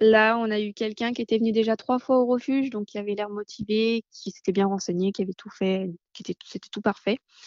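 Speaking with a normal speaking voice, a woman talks at a fairly quick pace in a fairly high pitch, her intonation fairly even while her loudness swings widely. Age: 20s. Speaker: animal rescue founder. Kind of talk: interview. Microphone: connection dropouts.

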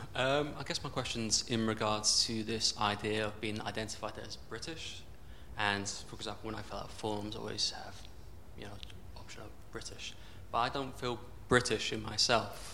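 A man speaks at a fairly low pitch and moderate pace with fairly even intonation and long, frequent pauses. Audible room echo and noticeable background noise surround him. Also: big swings in loudness. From southern England. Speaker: audience member, English teacher. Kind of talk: audience question. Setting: stage with audience.

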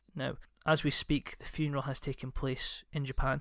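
The speaker is a man with a fairly high pitch. The recording is very clean, with a silent background. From Scotland. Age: 30s. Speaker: podcast host. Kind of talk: casual chat.

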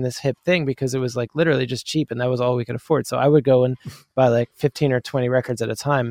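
A man with an American accent talks at a very fast pace with fairly even intonation, the sound dry and close with no echo. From US Northeast (Princeton, New Jersey). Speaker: musician and producer. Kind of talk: interview.

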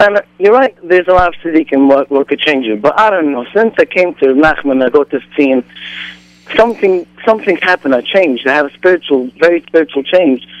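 Speaking at a fairly quick pace, a man with a fairly high voice and lively intonation sounds dry and close with no echo, against noticeable background noise. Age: 20s. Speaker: caller. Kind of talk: call-in comment.

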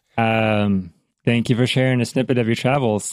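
Recorded very cleanly against a silent background, a man with an American accent uses a normal speaking voice at a medium pitch, speaking at a moderate pace with ordinary pitch variation. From United States. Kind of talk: podcast interview.

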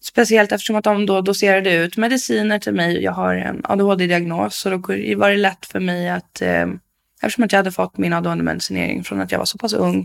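The recording is very clean and the background silent. In it, a woman talks at a moderate pace. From Stockholm area, Sweden. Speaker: support worker, former offender. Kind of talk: interview testimony. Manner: energetic.

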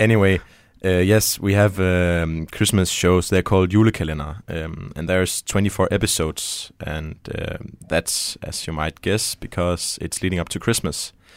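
Speaking with a Danish accent, a man with a very deep, low pitch talks at a moderate pace and keeps his intonation fairly even. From Denmark. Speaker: show guest. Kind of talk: casual chat. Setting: studio.

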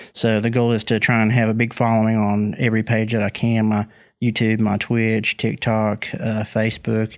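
A man with an Appalachian accent speaks at a moderate pace and medium pitch, monotone and flat, with very even loudness. The recording is very clean, with a silent background. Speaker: comedian and online video creator. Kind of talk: casual chat.

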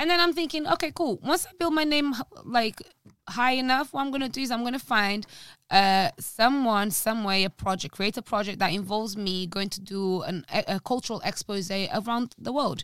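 A woman's fairly high voice swings very widely in pitch, captured on a very clean recording with a silent background. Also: moderate pace. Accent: Portuguese. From Portugal. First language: Portuguese. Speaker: language teacher. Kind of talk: casual chat.

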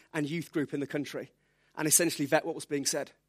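Delivered at a very fast pace in a Birmingham accent, the speech has a dry, close sound with no echo on a very clean recording with a silent background. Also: man. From England, Birmingham. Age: 30s. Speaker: preacher. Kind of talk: sermon. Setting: church.

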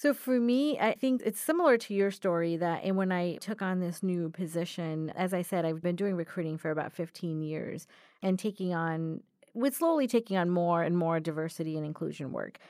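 On a very clean recording with a silent background, a woman with an unremarkable speaking voice talks at a fairly quick pace, her fairly low pitch moving with ordinary variation. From US, moved from India at nine. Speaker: diversity and inclusion specialist, new co-host. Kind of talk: casual chat. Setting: studio.

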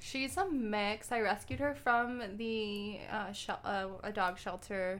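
A woman with an American accent speaks at a very slow pace with a fairly high pitch. There are hardly any pauses. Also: ordinary pitch variation. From Arizona, Tucson. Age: 20s. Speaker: law student. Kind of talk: casual chat.

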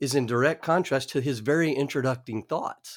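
With an American accent, a man with an ordinary speaking voice talks at a moderate pace in a fairly high pitch. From Oklahoma. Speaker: Bible study teacher. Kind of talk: Bible study discussion. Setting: remote recording.

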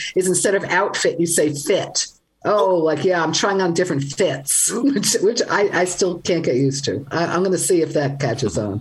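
Against noticeable background noise, a woman with a fairly low pitch talks at a moderate pace, her intonation lively and her loudness very even. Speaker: language writer and podcaster. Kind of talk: radio call-in interview. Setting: video call.

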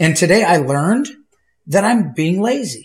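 Here a man with a Wisconsin accent speaks at a fairly slow pace. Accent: Upper Midwest (Wisconsin). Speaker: goose hunter. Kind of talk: casual chat. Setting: studio.

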